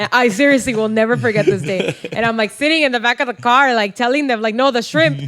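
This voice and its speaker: Over noticeable background noise, a woman talks very fast with hardly any pauses, her fairly high voice full of lively intonation. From San Diego, US Southwest. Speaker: podcast co-host. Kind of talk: casual chat. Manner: code-switching English and Spanish.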